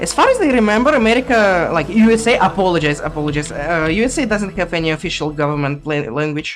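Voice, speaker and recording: Over music in the background, a woman with a strong non-native accent talks very fast with hardly any pauses, her fairly low pitch swinging very widely. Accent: thick foreign accent in English. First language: not English. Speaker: speedrunner. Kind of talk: live commentary while playing. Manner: halting, repeats words.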